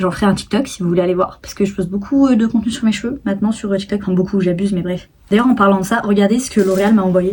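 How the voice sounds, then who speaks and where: A woman talking very fast with hardly any pauses. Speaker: YouTuber and TikTok creator. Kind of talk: casual vlog talk to camera. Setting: filming at home on tripod. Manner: chatty, many fillers.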